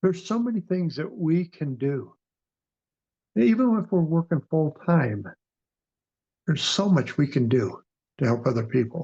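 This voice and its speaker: The sound is dry and close with no echo as a man with a fairly high pitch speaks at a moderate pace, making very wide pitch swings and long, frequent pauses. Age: 60s. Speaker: near-death experiencer. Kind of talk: interview testimony. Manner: halting.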